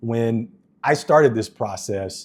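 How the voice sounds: On a very clean recording with a silent background, a man speaks slowly at a medium pitch, his slightly mellow tone carrying a slightly husky edge and ordinary pitch variation.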